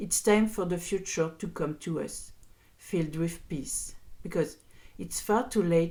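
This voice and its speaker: With a French accent, a woman speaks at a moderate pace and fairly low pitch. Her tone is dark and mellow, her intonation fairly even. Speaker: podcaster. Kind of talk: podcast rant. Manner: virulent, impassioned.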